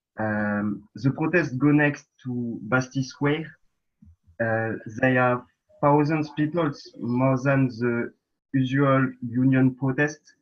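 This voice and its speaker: With a French accent, a man speaks at a very slow pace in a fairly even intonation, leaving long, frequent pauses. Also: medium pitch for a man. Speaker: protester. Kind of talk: testimony. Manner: halting.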